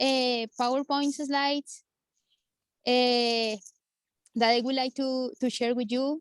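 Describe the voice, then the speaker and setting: A woman with a Spanish accent speaks very slowly in a high, monotone, flat voice. Her long, frequent pauses sit in a dry, close sound with no echo. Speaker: volunteer firefighter and preparedness presenter. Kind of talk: presentation. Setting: video call from fire station. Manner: halting.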